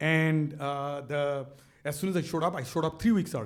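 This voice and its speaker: A man talks with a fairly high pitch. Room echo is audible around him. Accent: Bangladeshi. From Bangladesh. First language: Bengali. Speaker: business author and speaker. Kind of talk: onstage interview. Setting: stage with audience. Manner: animated.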